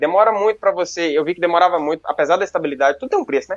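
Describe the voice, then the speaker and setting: Heard in a dry, close sound with no echo, a man with a Bahian accent speaks with lively intonation. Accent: Bahian-sounding Brazilian Portuguese. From northeastern Minas Gerais, Brazil (near Bahia border). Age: 20s. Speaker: medical student and content creator. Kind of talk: casual interview chat. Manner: talkative.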